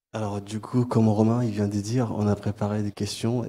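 A man with a dark, mellow tone, fairly low in pitch, fairly slow and monotone, with flat intonation. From Chad, Sahara border. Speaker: master's student; debate moderator. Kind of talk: audience question. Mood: emotional, reflective. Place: hall.

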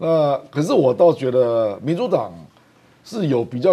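A man speaks at a fairly slow pace with a medium pitch, a dark, mellow tone and lively intonation. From Taiwan. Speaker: professor and former legislator, political commentator; professor, political commentator. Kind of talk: TV political talk show panel discussion. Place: studio. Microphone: lapel.

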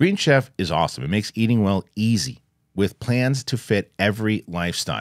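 Against a quiet background, a man with a normal speaking voice talks fairly low with lively intonation, the sound dry with no echo. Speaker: podcast host. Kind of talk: sponsor ad read. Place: studio.

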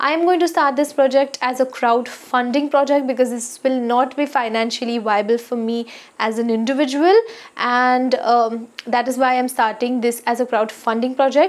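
Her voice is high for a woman, moving at a moderate pace with ordinary pitch variation. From India. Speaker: skincare YouTuber; skincare vlogger. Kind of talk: casual vlog talk to camera. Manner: frequent hesitations (uh). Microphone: lapel.

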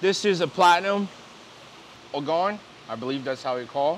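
With light noise in the background, a man speaks at a moderate pace in an upbeat, enthusiastic tone with lively intonation. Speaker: fish seller and auctioneer. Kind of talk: sales pitch, fish auction. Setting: fish facility, filmed on camera. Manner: upbeat, enthusiastic, casual. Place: shop. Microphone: lapel.

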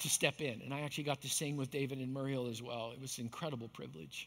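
This man talks at a very fast pace with a bright, sharp tone. His pitch variation is ordinary, and the background is quiet. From Canada, Manitoba. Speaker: pastor. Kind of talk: sermon. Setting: church. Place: stage.

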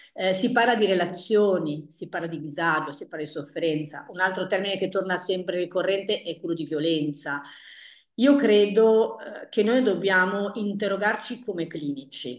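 A woman talks at a moderate pace, her medium pitch moving with ordinary variation. The background is quiet, though room echo can be heard. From northern Italy, Paderno Dugnano near Milan; northern Italy. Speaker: family therapist; guest. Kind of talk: panel discussion. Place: office. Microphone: earbuds.

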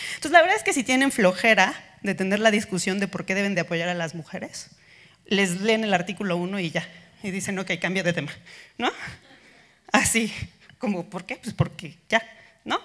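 The speaker goes at a moderate pace with ordinary pitch variation and long, frequent pauses against a quiet background. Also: woman. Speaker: conference speaker. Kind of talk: lecture. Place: hall. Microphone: handheld.

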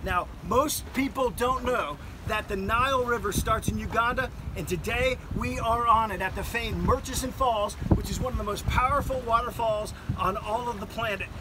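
Over loud background noise, a man talks at a moderate speed. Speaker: travel vlogger. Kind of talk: travel presentation to camera. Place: boat.

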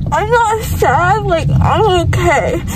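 A woman speaks at a very slow pace. The sound is dry with no echo, under loud background noise. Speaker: vlogger after dental surgery. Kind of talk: casual vlog chat. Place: car. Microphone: phone near.

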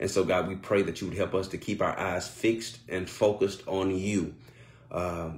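Somewhat breathy, a man talks at a moderate pace in a very deep, low pitch with fairly even intonation. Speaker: pastor. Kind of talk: sermon and spoken prayer. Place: home room. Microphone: phone near.

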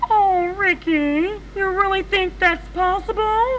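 Amid clear background noise, a man does a cartoonish character voice at an extremely high pitch and a fairly slow pace. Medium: puppet.

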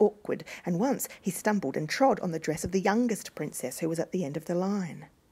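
The speaker reads in a natural voice, and the pitch shifts in an ordinary way.

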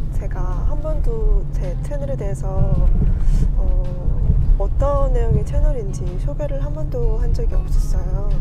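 Loud music plays behind a woman who speaks at a very slow pace, the sound dry with no echo. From Korean-Chinese community, Yanbian. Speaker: working mother, YouTuber. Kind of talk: casual talk to camera. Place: car. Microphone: phone near.

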